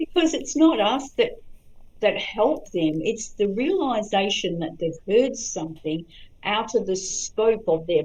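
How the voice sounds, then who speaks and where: A woman speaks fairly slowly, her intonation lively throughout. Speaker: psychic medium. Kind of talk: interview chat.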